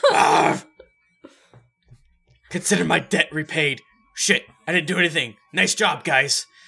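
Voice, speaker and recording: A raspy, put-on character voice moves at a fairly slow pace, broken by long, frequent pauses. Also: man, high pitch for a man. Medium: actual play. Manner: casual, offhand.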